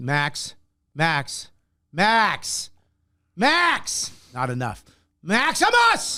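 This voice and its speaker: A man's put-on character voice, high-pitched, at a very slow pace with long, frequent pauses. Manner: stern, scolding, yelling.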